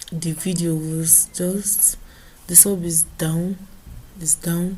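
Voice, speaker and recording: Speaking very slowly in a Nigerian accent, a woman has a dark, mellow, somewhat breathy tone, a flat monotone delivery and very even loudness. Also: fairly low pitch for a woman. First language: Igbo. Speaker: vlogger. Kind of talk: casual monologue vlog. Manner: halting, repeats words.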